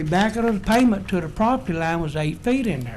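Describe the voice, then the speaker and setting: A man's high voice in an American accent, with ordinary pitch variation and audible room echo. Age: 70s. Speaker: home builder speaking at public hearing. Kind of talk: public hearing testimony. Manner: halting, many fillers.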